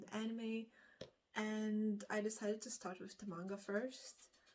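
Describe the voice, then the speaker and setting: A woman speaks with a Lithuanian accent. Her pitch is fairly high. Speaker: book vlogger. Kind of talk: casual vlog chat. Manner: halting, many fillers.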